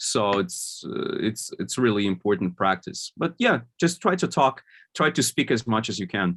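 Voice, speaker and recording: His accent is non-native. The man keeps a moderate pace. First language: not English. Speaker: product manager, conference speaker. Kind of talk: Q&A at online conference.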